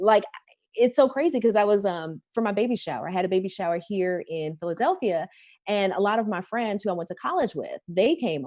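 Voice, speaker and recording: In an American accent, a woman talks at a medium pitch. Her tone is dark and mellow. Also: lively intonation, fairly quick pace. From Chicago, US Midwest. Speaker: morning TV news co-anchor. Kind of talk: casual interview chat.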